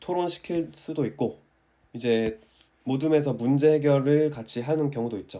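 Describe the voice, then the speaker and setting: Here a man talks at a moderate pace. His pitch is fairly high and his tone dark and mellow. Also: ordinary pitch variation. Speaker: math teacher who passed the teacher exam. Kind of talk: tutorial.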